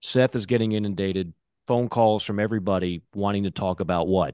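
This man has an ordinary speaking voice, fairly low in pitch, with ordinary pitch variation. He talks at a fairly quick pace. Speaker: podcast host. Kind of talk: casual chat.

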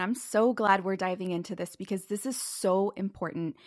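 An unremarkable speaking voice from a woman with an American accent, medium pitch, ordinary pitch variation and a moderate pace, on a very clean recording with a silent background. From Southern California. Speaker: financial educator and author. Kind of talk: interview.

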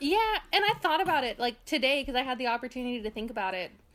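This woman's voice is high-pitched, with an American accent. Her intonation is lively. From far northern California. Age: 20s. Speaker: college student. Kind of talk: casual chat. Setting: call.

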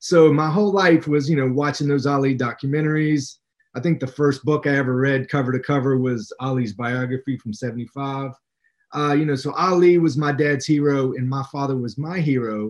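An unremarkable speaking voice: a man with an American accent, a fairly high pitch, fairly even intonation and a fairly quick pace. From West Virginia. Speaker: author and English professor. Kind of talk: interview.

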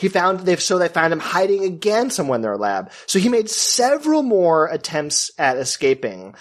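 A man with a high pitch speaks at a moderate pace, with very wide pitch swings and hardly any pauses. Noticeable background noise is present. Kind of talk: casual chat.

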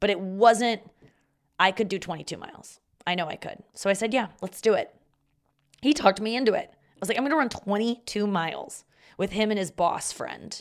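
A woman with lively intonation and long, frequent pauses. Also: moderate pace. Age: 30s. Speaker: comedy podcast host. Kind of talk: casual monologue.

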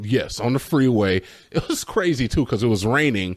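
This man's intonation is lively, and the background is quiet. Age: 20s. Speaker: podcast co-host. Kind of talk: casual chat.

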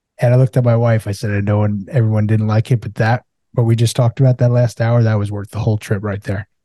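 A man talks very fast at a medium pitch, his tone dark and mellow and somewhat breathy, with monotone, flat intonation. The sound is dry and close, with no echo. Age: 40s. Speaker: podcast host and recovering alcoholic. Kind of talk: casual interview chat.

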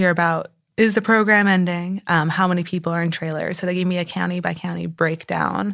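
An unremarkable speaking voice. The recording is very clean, with a silent background. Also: woman. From Texas, San Antonio. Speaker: newspaper reporter. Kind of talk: interview. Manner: casual, filler-heavy.

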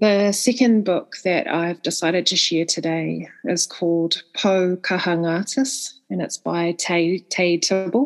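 With a New Zealand accent, a woman speaks at a fairly slow pace and with ordinary pitch variation. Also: medium pitch for a woman. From New Zealand, Northland. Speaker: book reviewer. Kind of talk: recorded book recommendation.

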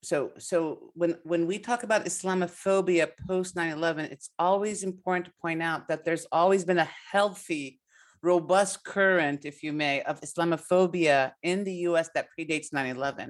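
A woman with an unremarkable speaking voice talks at a moderate pace and fairly low pitch, her intonation fairly even but her loudness swinging widely, on a very clean recording with a silent background. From US, partly raised in Palestine. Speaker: political science professor. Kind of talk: radio interview.

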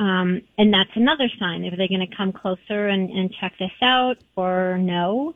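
A woman's unremarkable speaking voice, lively in intonation, at a moderate pace. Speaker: holistic pet practitioner. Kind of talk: interview.

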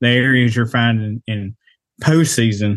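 In a plain, everyday voice, a man talks at a fairly slow pace with medium pitch and fairly even intonation. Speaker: hunter. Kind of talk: casual chat.

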